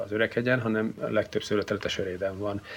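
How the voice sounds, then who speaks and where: The man's voice sits at a fairly low pitch. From Hungary, Szeged (Great Plain). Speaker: wine society grand master. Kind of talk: interview.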